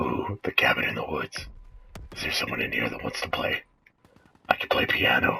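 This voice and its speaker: In a raspy, put-on character voice, the speaker goes at a moderate pace with long, frequent pauses. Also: man. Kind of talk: comedic gameplay commentary in character. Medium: role play.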